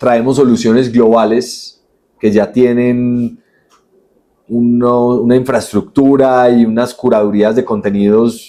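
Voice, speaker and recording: A man's dark, mellow voice at medium pitch, with fairly even intonation and a very slow pace. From Colombia, Manizales (paisa region). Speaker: entrepreneur, company CEO. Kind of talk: podcast interview.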